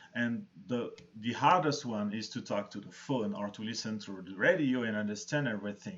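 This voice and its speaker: A man speaks at medium pitch with a strong non-native accent. His pace is moderate, with ordinary pitch variation. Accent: thick foreign. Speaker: arts centre host. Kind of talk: live-stream interview chat.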